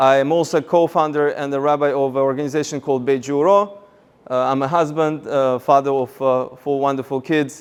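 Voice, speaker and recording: Fairly high in pitch, a man speaks with fairly even intonation in a Russian accent. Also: fairly quick pace. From Russia, Moscow. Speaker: rabbi and seminar speaker. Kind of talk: seminar talk.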